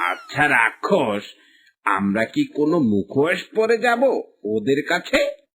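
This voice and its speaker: A man's cartoonish character voice, fairly high-pitched and fairly slow. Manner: conspiratorial, comic.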